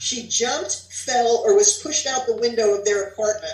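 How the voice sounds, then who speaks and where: A woman with an American accent uses a normal speaking voice, fairly high in pitch, with lively intonation at a fairly slow pace. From New Jersey. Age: 60s. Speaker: author. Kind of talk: reading aloud.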